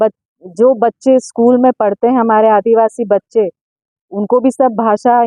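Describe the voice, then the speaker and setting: This woman has a plain, everyday voice, pitched fairly high, with fairly even intonation. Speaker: party district president, politician. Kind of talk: press statement.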